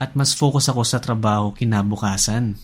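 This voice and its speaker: Recorded very cleanly against a silent background, a man with a somewhat breathy voice speaks at a moderate pace. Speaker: personal finance YouTuber. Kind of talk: scripted narration.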